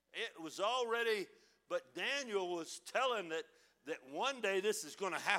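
A man's raised, projected voice, high in pitch, with lively intonation. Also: moderate pace. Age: 60s. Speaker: preacher. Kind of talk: sermon. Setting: church.

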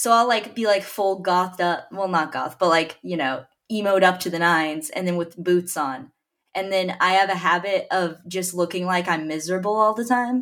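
With an unremarkable speaking voice and an American accent, a woman of medium pitch speaks at a moderate pace with ordinary pitch variation in a very clean recording with a silent background. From Dallas, Texas. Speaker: podcast host. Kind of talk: casual banter.

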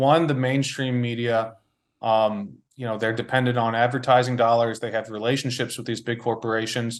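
A man with an American accent at medium pitch, a plain, everyday voice, fairly quick pace, quiet background. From Washington DC area, US. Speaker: journalist. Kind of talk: interview.

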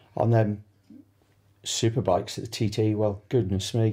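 Somewhat breathy, a man with a Manx accent speaks in a dark, mellow tone. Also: very clean recording, silent background. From Isle of Man. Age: 50s. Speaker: sidecar racer. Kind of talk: interview.

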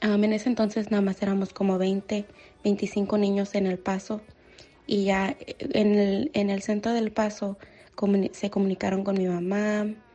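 Fairly slow speech comes from a woman. Her intonation is monotone and flat. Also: medium pitch for a woman, very even loudness. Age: 20s. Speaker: listener sending voice message. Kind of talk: testimony.

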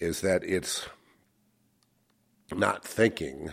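Vocal fry marks this man's very deep, low voice, which moves with lively intonation. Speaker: Freemasonry and esoteric studies speaker. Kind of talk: casual chat. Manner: halting.

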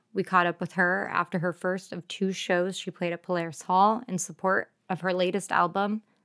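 In a very clean recording with a silent background, a woman with an American accent talks at medium pitch and a fairly quick pace in an ordinary speaking voice. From Arizona, rural Tucson area. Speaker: radio DJ and podcast host. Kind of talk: scripted intro narration; casual interview chat. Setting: radio studio.

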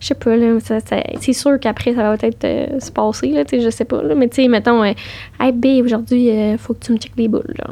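Dark, mellow tone from a woman at a fairly quick pace, with ordinary pitch variation. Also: fairly high pitch for a woman. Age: 20s. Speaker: cancer patient. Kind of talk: personal testimony in casual interview.

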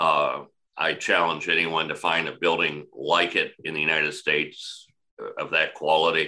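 He speaks with an American accent. The voice is a man's. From northern Indiana. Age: 60s. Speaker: mayor. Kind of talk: interview conversation.

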